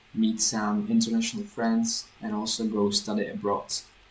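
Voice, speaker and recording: The speaker has a Czech accent. Noticeable background noise runs through the clip. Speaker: language teacher. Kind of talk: vlog. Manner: slow; clear.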